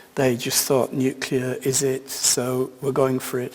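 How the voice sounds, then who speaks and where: Noticeable background noise runs through this clip. The man's voice sits at a medium pitch. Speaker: keynote speaker, sociologist of science. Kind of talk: keynote lecture.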